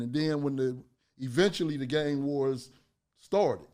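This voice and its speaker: A man with a fairly high pitch and a dark, mellow tone at a moderate pace, in a very clean recording with a silent background. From San Francisco, Hunter's Point. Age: 60s. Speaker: community activist and music executive. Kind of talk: podcast interview. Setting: studio. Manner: animated.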